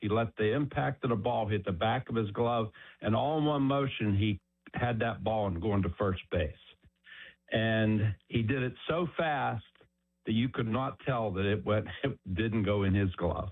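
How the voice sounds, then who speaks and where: A man with an American accent speaks in an unremarkable speaking voice, fairly low in pitch, at a fairly slow pace, with ordinary pitch variation and very even loudness. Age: 60s. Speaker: caller. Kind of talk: phone-in anecdote.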